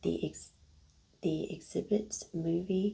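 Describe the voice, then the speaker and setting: The woman is soft-spoken. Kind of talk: ASMR soft-spoken.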